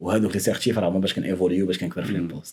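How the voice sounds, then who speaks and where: In a very clean recording with a silent background, a man with a Moroccan accent speaks at a very fast pace in a very deep, low, flat monotone. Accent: Moroccan Arabic with French code-switching. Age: young. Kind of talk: casual podcast conversation.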